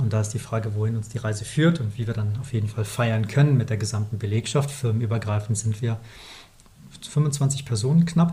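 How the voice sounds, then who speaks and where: Talking at a fairly quick pace, a man uses a dark, mellow tone that comes across somewhat breathy. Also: medium pitch for a man, ordinary pitch variation. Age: 40s. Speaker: company founder, email marketing podcast co-host. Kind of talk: casual business chat.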